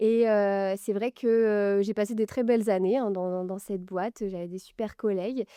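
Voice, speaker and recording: A woman speaks at a moderate pace in a monotone, flat delivery with a dark, mellow tone, hardly pausing, over a quiet background with a dry, close sound and no echo. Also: medium pitch for a woman. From Normandy, France. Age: 20s. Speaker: fashion brand founder. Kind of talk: interview. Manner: hesitant, many fillers.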